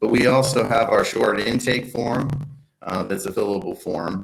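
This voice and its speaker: At a fairly slow pace, a man speaks with vocal fry and lively intonation. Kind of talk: online workshop presentation. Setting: live online workshop.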